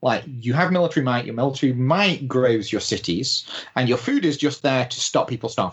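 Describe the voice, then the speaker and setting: Somewhat breathy, a man talks at a fairly quick pace. His medium pitch shows ordinary pitch variation. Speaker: podcast panelist. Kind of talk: casual chat.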